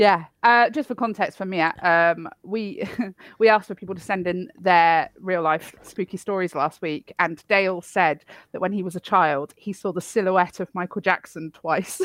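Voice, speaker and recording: This woman speaks at a moderate pace with a British accent. The sound is dry and close with no echo, in a very clean recording over a silent background. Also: medium pitch for a woman, ordinary pitch variation. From Poland. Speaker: podcast co-host. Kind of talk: casual chat.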